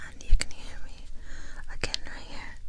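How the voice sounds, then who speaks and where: Soft-spoken whispering. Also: woman. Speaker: ASMR creator. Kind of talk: soft ASMR chat. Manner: soft close whisper into ear mic. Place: home room. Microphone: studio mic.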